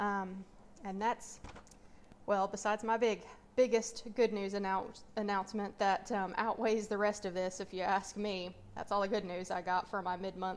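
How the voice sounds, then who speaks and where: A woman with an Appalachian accent, medium in pitch, at a fairly slow pace with ordinary pitch variation. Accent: Appalachian North Carolina. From US South, mountains of North Carolina. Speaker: personal finance vlogger. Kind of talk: casual vlog update. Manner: hesitant, many fillers.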